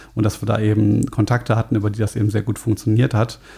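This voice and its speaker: Over noticeable background noise, a man talks at a very fast pace. His fairly low voice is monotone and flat. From Germany, Frankfurt. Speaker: metal bassist. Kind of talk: podcast interview.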